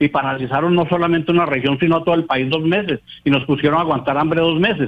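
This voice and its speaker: A man's fairly high voice, very fast, with very even loudness and fairly even intonation. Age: 70s. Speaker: miners' association leader. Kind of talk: radio interview.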